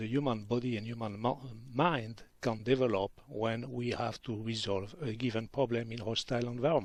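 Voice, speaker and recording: A man with a French accent speaks at a fairly quick pace with hardly any pauses, a medium pitch and ordinary pitch variation. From southern France, Pyrenees. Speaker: physician. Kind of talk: radio interview. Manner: halting, many fillers.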